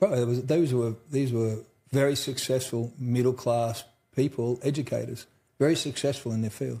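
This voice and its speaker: This man, speaking with an Australian accent at a moderate pace, has a somewhat breathy voice and a dark, mellow tone. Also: medium pitch for a man, fairly even intonation. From central Australia. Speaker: trauma survivor and mental health advocate. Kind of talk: interview. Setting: conference. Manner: casual.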